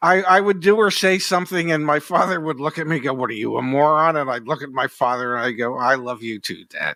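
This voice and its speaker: Very fast talk with hardly any pauses from a man with a bright, sharp, fairly high voice and lively intonation. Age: 70s. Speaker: podcast host. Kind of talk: casual interview.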